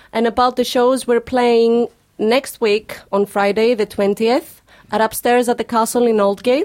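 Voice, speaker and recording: A woman speaks with a Greek accent at a fairly slow pace, her pitch fairly high. Her intonation is monotone and flat, the loudness very even, and the sound dry and close with no echo. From Greece. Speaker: singer. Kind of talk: casual chat. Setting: studio.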